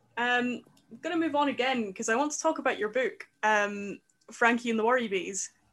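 Moderate pace from a woman with a high voice and ordinary pitch variation. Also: long, frequent pauses. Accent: Scottish. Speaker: podcast host. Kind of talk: interview.

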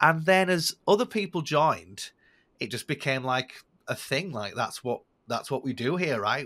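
A man speaks with a northern English accent. The recording is very clean, with a silent background. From northern England. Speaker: sales content creator. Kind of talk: casual interview conversation.

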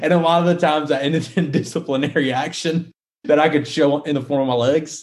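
A man speaks with a Southern US accent. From US South, South Carolina. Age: 20s. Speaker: wealth management business owner. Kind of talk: interview.

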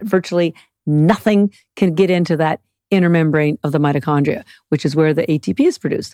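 A woman has a plain, everyday voice, fairly low in pitch, with ordinary pitch variation at a fairly quick pace. The very clean recording has a silent background and a dry, close sound with no echo. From Canada. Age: 60s. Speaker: algae nutrition expert and company founder. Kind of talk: casual interview chat.

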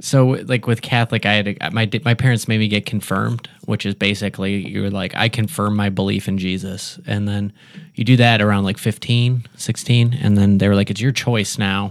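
A man talks at a fairly quick pace in a plain, everyday voice, his intonation fairly even, on a very clean recording with a silent background. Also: fairly low pitch for a man. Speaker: podcast guest. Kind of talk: casual chat. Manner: casual, chatty, laughs often.

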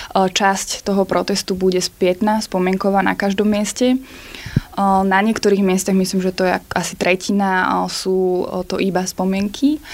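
Over noticeable background noise, a woman speaks at a fairly slow pace in a medium pitch. Her loudness is very even and her intonation fairly even. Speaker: protest organizer. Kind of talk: interview. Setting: studio.

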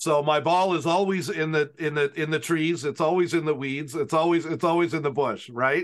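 This man has a normal speaking voice of fairly high pitch. He keeps a moderate pace with hardly any pauses and fairly even intonation. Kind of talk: casual interview. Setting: video call.

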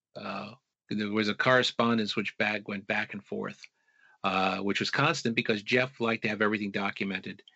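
A man with an American accent has an unremarkable speaking voice, fairly low in pitch. He talks at a moderate pace. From US Northeast, Long Island, New York. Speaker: author and researcher. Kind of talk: interview.

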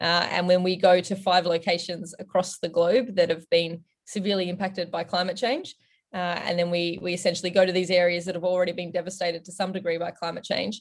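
Talking at a fairly quick pace, a man with an Australian accent keeps a high pitch in a monotone, flat intonation. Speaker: rally driver. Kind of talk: interview.

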